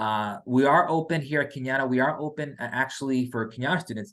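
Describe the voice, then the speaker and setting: A man's bright, sharp voice at a fairly quick pace, with ordinary pitch variation and a quiet background. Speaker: financial aid staff member. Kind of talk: info session presentation. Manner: fast; halting, many fillers and repeats.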